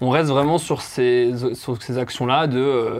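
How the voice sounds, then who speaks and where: The man's voice is medium in pitch with fairly even intonation. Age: 20s. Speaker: music event project manager. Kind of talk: interview. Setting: company office. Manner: hesitant, many fillers.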